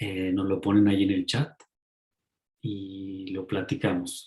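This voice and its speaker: A man's somewhat breathy voice, fairly low in pitch, at a very slow pace. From Mexico. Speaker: author and ecopsychology teacher. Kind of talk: talk in an online lecture series.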